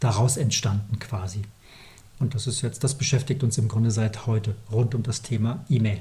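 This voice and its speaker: A man talks with a dark, mellow tone, a somewhat breathy quality and ordinary pitch variation. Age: 40s. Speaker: company founder, email marketing podcast co-host. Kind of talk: casual business chat.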